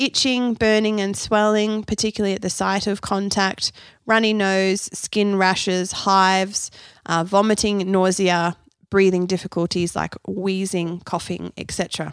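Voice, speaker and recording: On a very clean recording with a silent background, a woman with an Australian accent speaks at a medium pitch and a fairly slow pace, her intonation fairly even. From Australia (Canberra). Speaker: nutritionist and podcast host. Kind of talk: solo educational podcast.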